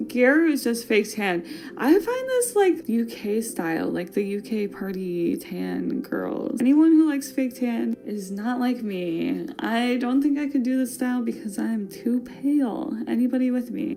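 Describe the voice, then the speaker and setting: With a Wisconsin accent, a woman speaks in a high pitch at a fairly slow pace with hardly any pauses, an animated tone and lively intonation, over noticeable background noise. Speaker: fashion podcast host. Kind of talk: casual podcast monologue.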